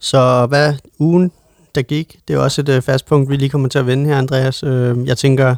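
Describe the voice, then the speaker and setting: Dry and close with no echo, a man's voice comes through in a monotone, flat intonation. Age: 30s. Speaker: podcast co-host. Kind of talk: casual chat. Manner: halting, many fillers.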